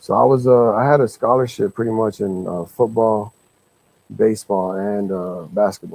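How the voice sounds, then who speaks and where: At a moderate pace, a man with an American accent speaks at a fairly low pitch with ordinary pitch variation. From South Texas (McAllen). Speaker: rapper. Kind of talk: interview.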